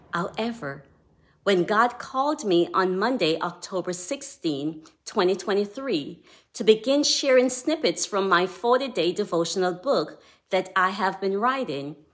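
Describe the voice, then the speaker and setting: With a Jamaican accent, a woman talks at a fairly slow pace, her medium-pitched voice carrying lively intonation. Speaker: devotional author. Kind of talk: devotional talk.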